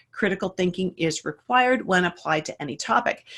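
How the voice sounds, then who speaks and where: At a moderate pace, a woman with a normal speaking voice talks in a medium pitch with lively intonation. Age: 60s. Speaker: iridology teacher. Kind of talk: live-streamed lesson. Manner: conversational, with filler words.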